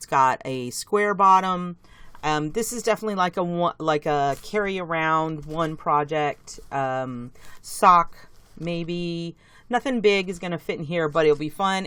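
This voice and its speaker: A woman speaks with a very deep, low pitch and ordinary pitch variation. Her tone is enthusiastic. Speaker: knitting video host. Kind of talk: casual haul show-and-tell. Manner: chatty, enthusiastic.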